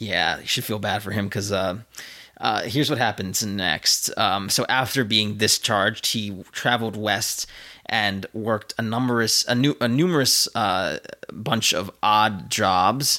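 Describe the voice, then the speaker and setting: A man with a plain, everyday voice talks at a fairly slow pace, his fairly low pitch showing ordinary variation. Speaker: podcast host. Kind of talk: casual chat. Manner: joking, playful.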